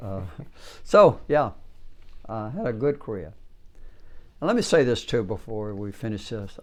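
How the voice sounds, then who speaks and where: Long, frequent pauses from a man with a Southern US accent, medium pitch, ordinary pitch variation and a moderate pace. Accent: Southern American. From South Georgia, USA. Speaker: Cold War veteran. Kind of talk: oral history interview answer. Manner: hesitant, halting.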